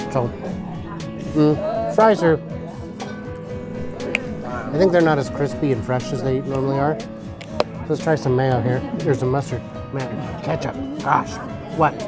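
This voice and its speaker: A man at a moderate pace with long, frequent pauses, dry sound with no echo, and clear music in the background. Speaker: food reviewer. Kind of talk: casual vlog chat. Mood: mildly disappointed, joking. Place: cafe. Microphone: phone near.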